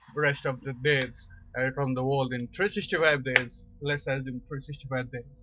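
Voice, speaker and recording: A man speaks at a fairly high pitch with a non-native accent. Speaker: amateur science video presenter. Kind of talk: informal educational talk. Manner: slow, deliberate; halting, many fillers.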